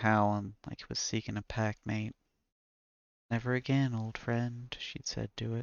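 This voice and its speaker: A man with an American accent speaks at a fairly slow pace. His medium pitch stays monotone and flat. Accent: southern accent, comes back when reading. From US South. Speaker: author reading own stories, streamer. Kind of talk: reading aloud. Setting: live stream with chat.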